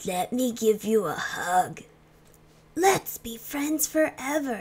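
Very slowly, a woman performs a put-on character voice pitched high.

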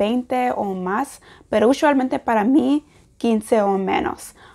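Set against a quiet background, a woman speaks in a high voice. Her pitch varies in an ordinary way. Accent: English. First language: English (speaking Spanish). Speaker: language learner vlogger. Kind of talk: casual vlog. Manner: halting, many fillers. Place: home room. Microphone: lapel.

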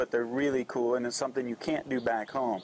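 A man's fairly quick speech against noticeable background noise. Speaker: interviewer, channel host. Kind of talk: interview questions. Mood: relaxed, laughing. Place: cafe.

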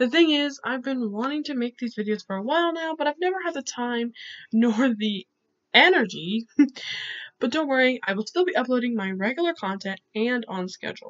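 Speaking at a fairly quick pace, a woman uses a high pitch and lively intonation. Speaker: YouTuber who paints and educates. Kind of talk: educational talk to camera, reading quotes from articles. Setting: home recording, poor audio. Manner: awkward.

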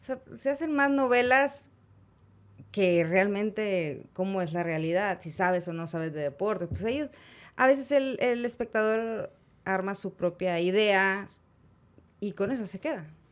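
The speaker uses lively intonation at a fairly slow pace, with long, frequent pauses. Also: woman, medium pitch for a woman. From Mexico, Monterrey; Nuevo León, Mexico. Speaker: sports journalist. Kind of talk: interview. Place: studio. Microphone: studio mic.

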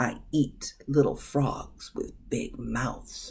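A man does a put-on character voice full of hissing, speaking at a very slow pace.

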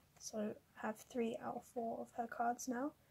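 Quietly and at a moderate pace, a woman speaks with high pitch and a dark, mellow tone. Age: young. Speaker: kpop photocard collector. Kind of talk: casual talk to camera. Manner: quiet, subdued. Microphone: phone near.

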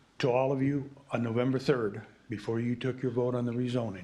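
Audible room echo surrounds a man's voice. He talks at a moderate pace and medium pitch. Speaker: resident speaking at public comment. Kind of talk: public comment at council meeting. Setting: city council meeting. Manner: voice rises when excited.

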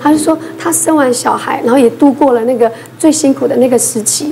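The voice moves at a moderate pace with ordinary pitch variation over light background noise. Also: woman. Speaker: emergency physician; talk show panelist. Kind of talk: casual talk show chat. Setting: studio. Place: studio.

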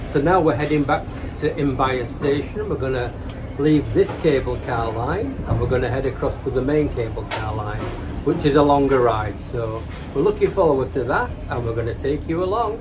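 A man talks at a moderate pace. Background noise is noticeable. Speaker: travel vlogger. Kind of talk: casual vlog chat. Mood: upbeat and enthusiastic. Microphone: phone near.

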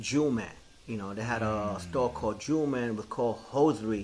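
Over light background noise, a man talks at a fairly quick pace and a medium pitch with ordinary pitch variation. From New York, South Bronx. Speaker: graffiti artist. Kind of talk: oral history interview. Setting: recorded interview. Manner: casual, filler-heavy. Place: office.

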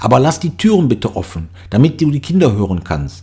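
Man's medium-pitched voice with very wide pitch swings at a moderate pace. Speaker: audiobook narrator. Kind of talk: horror story reading.

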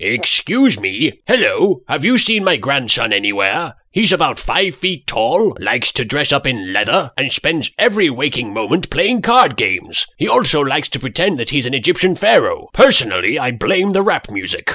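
Using a put-on character voice, a man talks at a moderate pace with hardly any pauses, in a fairly high voice with very wide pitch swings. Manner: doddering, chatty.

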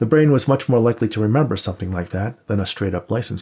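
The passage is read aloud plainly, with lively intonation.

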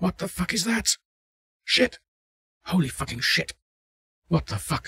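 Using a put-on character voice, a man speaks at a fairly slow pace with high pitch, lively intonation, a bright, sharp tone, vocal fry and a slightly husky edge, all in dry, close sound with no echo.

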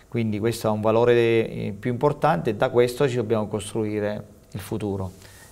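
Fairly even intonation runs through a man's moderately paced talk. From Abruzzo. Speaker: football coach. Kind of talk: TV interview. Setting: TV studio. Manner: halting, repeats words. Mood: calm, reflective. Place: studio.

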